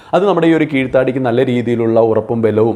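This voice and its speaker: The speech carries ordinary pitch variation over noticeable background noise. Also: man. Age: 40s. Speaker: beauty and wellness video creator. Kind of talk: tutorial.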